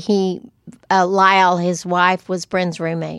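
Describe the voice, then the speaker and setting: A woman with a West Texas accent talks at a medium pitch. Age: 70s. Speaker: podcast co-host. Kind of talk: casual chat. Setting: studio.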